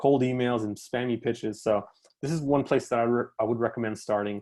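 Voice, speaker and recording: Against a quiet background, a man talks at a fairly quick pace and a medium pitch. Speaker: freelance talk speaker, job board founder. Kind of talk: webinar talk with screen-share tutorial. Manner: fast; casual, many fillers.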